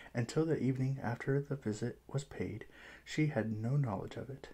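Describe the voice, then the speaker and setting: A man speaks softly at a moderate pace, his tone dark and mellow. His voice is somewhat breathy, with ordinary pitch variation. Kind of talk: ASMR book reading to help sleep. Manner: soft-spoken, relaxing.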